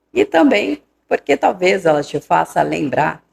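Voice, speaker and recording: A woman's very deep, low voice with vocal fry and a dry, close sound without echo. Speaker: booktuber reviewing series. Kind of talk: video review.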